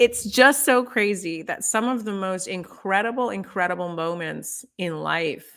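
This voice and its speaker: A woman with a normal speaking voice talks at a fairly slow pace with hardly any pauses. Her pitch is medium with ordinary pitch variation, in a very clean recording with a silent background. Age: 50s. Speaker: TV host. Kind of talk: casual chat. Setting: live stream.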